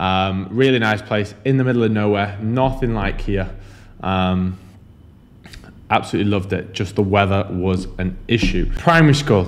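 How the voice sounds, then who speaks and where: A Yorkshire accent at a moderate pace, with audible room echo. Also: man, fairly low pitch for a man, ordinary pitch variation. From northern England, Huddersfield, Yorkshire. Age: 20s. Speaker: online fitness and business coach. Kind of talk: vlog monologue. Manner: casual, filler-heavy.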